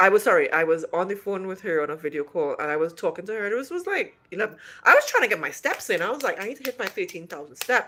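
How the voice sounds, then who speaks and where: A woman's bright, sharp voice at a very fast pace, full of lively intonation. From Trinidad and Tobago. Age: 50s. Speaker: vlogger. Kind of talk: casual chat. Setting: livestream.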